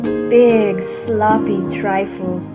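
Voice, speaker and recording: Music plays in the background. Over it, a woman speaks very slowly. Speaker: grandmother reading to children. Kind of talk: children's bedtime story reading.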